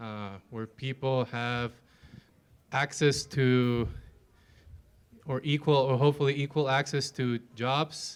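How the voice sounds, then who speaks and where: With a non-native accent, a man speaks at a very slow pace, his intonation fairly even and his pauses long and frequent. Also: medium pitch for a man. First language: not English. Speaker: panelist. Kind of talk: panel discussion.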